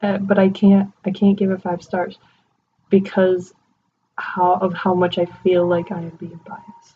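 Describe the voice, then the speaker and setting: In a dark, mellow tone, a woman speaks fairly slowly with a somewhat breathy, medium-pitched voice and flat, monotone intonation. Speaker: movie reviewer. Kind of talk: casual talk to camera. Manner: whispered.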